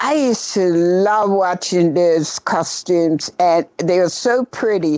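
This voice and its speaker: A woman speaks at a fairly slow pace. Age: 80s+. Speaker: costume maker. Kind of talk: interview. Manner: halting.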